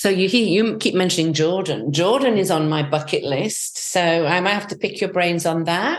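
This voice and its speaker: A woman with an English accent, lively intonation and a moderate pace. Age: 60s. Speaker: travel group founder. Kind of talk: casual chat.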